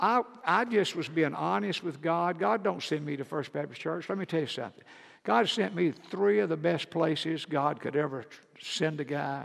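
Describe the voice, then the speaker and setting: Pitched fairly high, a man speaks with vocal fry. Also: lively intonation, moderate pace. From US South, rural Georgia. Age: 70s. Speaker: Baptist pastor. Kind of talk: sermon. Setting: church.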